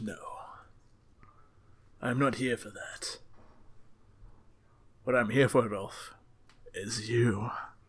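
A man's put-on character voice, medium in pitch and raspy, at a very slow pace with long, frequent pauses. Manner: dramatic.

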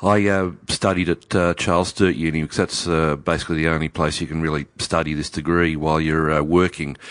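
In an Australian accent, a man with a very deep, low pitch speaks at a fairly quick pace with hardly any pauses and a monotone, flat intonation against a quiet background. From Australia, Newcastle NSW. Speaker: winemaker. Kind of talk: casual interview. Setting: in person.

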